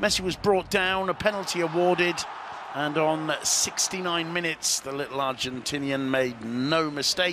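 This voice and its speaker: A man with a fairly high pitch and ordinary pitch variation talks at a moderate pace amid noticeable background noise. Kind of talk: sports match commentary recap, highlights voiceover. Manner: brisk, fluent, even-toned match narration; occasionally hesitant with filler 'uh'.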